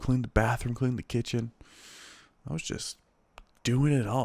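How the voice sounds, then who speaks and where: A quiet man's voice, in a dry, close sound with no echo. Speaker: podcast host. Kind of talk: solo casual podcast talk. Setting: at home late at night. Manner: quiet, low energy.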